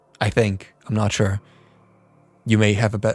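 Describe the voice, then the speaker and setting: A man's medium-pitched voice at a moderate pace, with a slight non-native accent. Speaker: music producer and streamer. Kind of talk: casual livestream chat. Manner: halting, stumbling.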